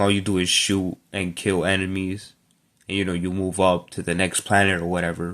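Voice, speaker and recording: A man speaks at a fairly quick pace. His very deep, low pitch stays monotone and flat. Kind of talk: casual talk to camera. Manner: hesitant, some stuttering.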